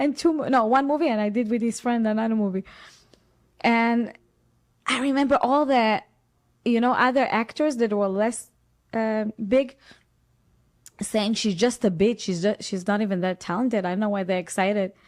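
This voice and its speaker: A woman with an Israeli accent speaks at a fairly high pitch and a moderate pace, with ordinary pitch variation and long, frequent pauses. The recording is very clean with a silent background. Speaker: actress. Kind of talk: interview. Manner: animated.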